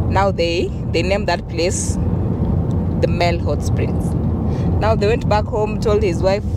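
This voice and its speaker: A woman at a fairly slow pace with long, frequent pauses, dry with no echo, over loud background noise. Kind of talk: storytelling. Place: car. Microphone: handheld.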